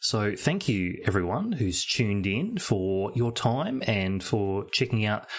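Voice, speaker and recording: The speaker is a man. He has an Australian accent. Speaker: podcast co-host. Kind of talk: casual chat. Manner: hesitant, many fillers.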